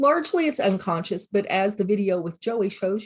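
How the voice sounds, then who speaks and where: A woman's somewhat breathy voice with lively intonation, at a moderate pace, against a quiet background. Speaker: college teacher. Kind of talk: recorded lecture. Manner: casual, filler words.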